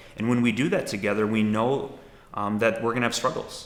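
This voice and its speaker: In a room with audible echo, a man with an American accent talks in a fairly low pitch with monotone, flat intonation. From Milwaukee, Wisconsin, US Midwest. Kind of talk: interview testimony. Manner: thoughtful, with frequent fillers.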